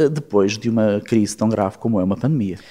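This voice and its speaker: A man with a normal speaking voice talks at a moderate pace. His pitch is medium, with ordinary pitch variation. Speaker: politician and physician. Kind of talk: political interview. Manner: formal.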